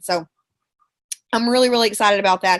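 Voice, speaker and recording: With a Texan accent, a woman talks in an animated tone. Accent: Texan Southern US. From Central Texas, Bryan/College Station. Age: 20s. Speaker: network marketing distributor, former teacher. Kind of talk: motivational team call talk. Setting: conference call from bed.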